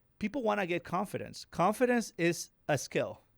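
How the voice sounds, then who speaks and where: With a Latin American accent, a man speaks with very wide pitch swings in a dry, close sound with no echo, on a very clean recording with a silent background. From Dominican Republic. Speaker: real estate investor. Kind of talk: casual interview. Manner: repetitive, some self-corrections.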